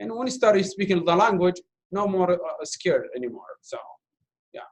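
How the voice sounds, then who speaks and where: A man speaks at a moderate pace with an Arabic accent. His loudness rises and falls sharply. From Iraq. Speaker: refugee speaker, volunteer interpreter. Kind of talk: Q&A after documentary screening. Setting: university talk with audience, streamed online.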